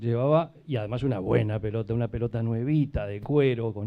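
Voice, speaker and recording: A man talks at a moderate pace. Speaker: event moderator, law faculty. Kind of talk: event introduction.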